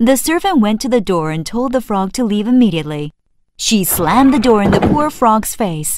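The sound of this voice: Against a quiet background, an unforced reading voice moves with lively intonation.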